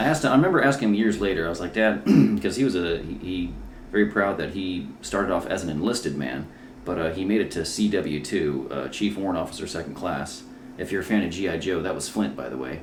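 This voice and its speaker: A man with an American accent, very deep, low pitch, lively intonation and a very fast pace, with audible room echo. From South Carolina (military brat, from sixth grade). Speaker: comedian. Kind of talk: casual chat. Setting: at home.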